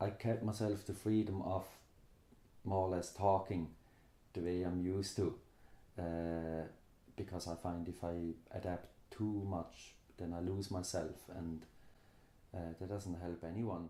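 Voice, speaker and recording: A voice with a Swiss German accent speaks fairly slowly in a dark, mellow tone, flat and monotone, with long, frequent pauses. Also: man, very deep, low pitch for a man. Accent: Swiss German accent, noticeable. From Switzerland. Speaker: immigrant interviewee. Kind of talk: interview testimony.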